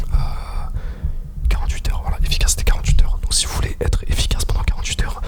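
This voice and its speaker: Whispering at a very fast pace, a man speaks over noticeable background noise. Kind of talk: ASMR quiz video. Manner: whispered.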